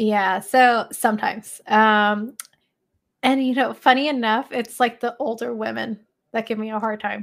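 This woman has a plain, everyday voice and an American accent, speaking at a moderate pace with fairly even intonation. The recording is very clean, with a silent background. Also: fairly high pitch for a woman. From Los Angeles, US. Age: 30s. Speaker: HVAC technician, social media creator. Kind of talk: casual chat.

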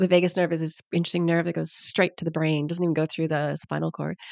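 Against a quiet background, a woman with a fairly low voice is heard in a dry, close sound with no echo. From Canada. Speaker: naturopathic doctor and author. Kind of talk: casual interview.

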